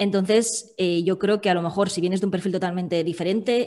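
Against a quiet background, a woman is speaking. Her pitch moves in an ordinary way. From Valencia, Spain; Spain. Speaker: food-sector copywriter; podcast guest. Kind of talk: interview conversation. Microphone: video call.

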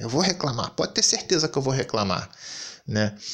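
Against a quiet background, the speaker uses an animated tone with very wide pitch swings and vocal fry. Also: man. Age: 30s. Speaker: gaming YouTuber; gaming commentator. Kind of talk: commentary rant. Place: home room.

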